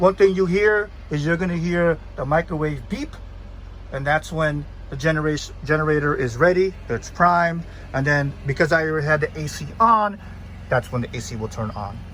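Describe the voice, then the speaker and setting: A man talks at a fairly high pitch. His voice shows ordinary pitch variation. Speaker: van owner and reviewer. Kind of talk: casual video review walkthrough. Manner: fast; halting, many fillers.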